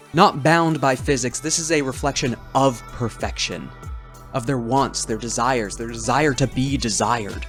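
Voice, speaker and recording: Music can be heard in the background. Over it, a man speaks at a moderate pace. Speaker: tabletop game reviewer. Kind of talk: dramatic lore narration.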